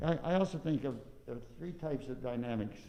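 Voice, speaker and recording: An American-accented man at medium pitch, dark and mellow in tone, with lively intonation and audible room echo. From US Midwest, southern Illinois. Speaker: trumpet teacher. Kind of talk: masterclass. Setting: recital hall. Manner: mumbling.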